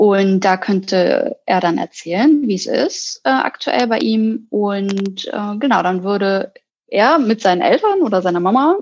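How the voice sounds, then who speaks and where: Using an unremarkable speaking voice, a woman talks fairly slowly with lively intonation and hardly any pauses. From Hamburg, northern Germany. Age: 30s. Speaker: psychologist. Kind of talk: interview.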